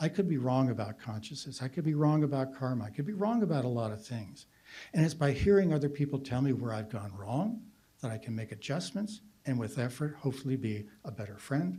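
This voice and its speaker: A man speaks at a fairly quick pace in a medium pitch, with a dark, mellow tone and some breathiness. His intonation is lively, and room echo is audible. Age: 70s. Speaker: philosopher. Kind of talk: conference talk.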